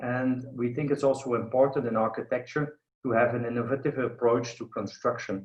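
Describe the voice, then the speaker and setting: A man with a Flemish accent speaks at medium pitch and a moderate pace. His voice is somewhat breathy, with fairly even intonation. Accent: Flemish Belgian. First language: Dutch (Flemish). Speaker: architect and professor. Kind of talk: online lecture. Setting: video call. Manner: halting, many fillers.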